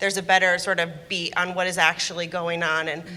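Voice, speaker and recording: A woman talks at a fairly quick pace with a fairly low pitch. Her intonation is monotone and flat, with noticeable background noise. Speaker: business leader. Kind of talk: panel discussion. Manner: fast.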